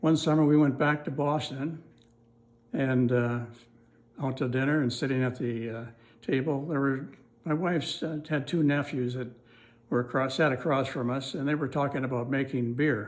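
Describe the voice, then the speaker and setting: With an American accent, a man at a fairly high pitch uses fairly even intonation and long, frequent pauses, with audible room echo. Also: moderate pace. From US Midwest, northeast Iowa. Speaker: oral history narrator. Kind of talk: oral history recollection. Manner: halting, with frequent fillers.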